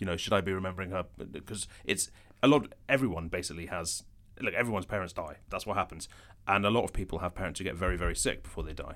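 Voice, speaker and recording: At a very fast pace, a man speaks with a very deep, low pitch and ordinary pitch variation on a very clean recording with a silent background. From Scotland, Edinburgh. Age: 40s. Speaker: journalist and columnist. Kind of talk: casual chat.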